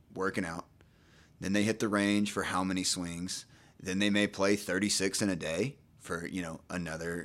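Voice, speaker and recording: Very deep and low, this man's voice comes with a Texan accent and fairly even intonation. The recording is very clean, with a silent background. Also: moderate pace. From East Texas (Nacogdoches). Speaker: physical therapist. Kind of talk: casual chat.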